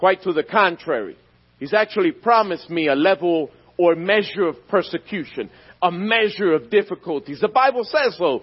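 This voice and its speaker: A man with an American accent, lively intonation, and a moderate pace. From US Northeast, North Philadelphia. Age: 40s. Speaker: guest preacher, former drug dealer turned evangelist. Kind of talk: evangelical guest sermon with personal testimony, call-and-response with the congregation. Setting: church service. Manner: fervent, emphatic preaching cadence with repetition; rousing, calls out for amens from the church.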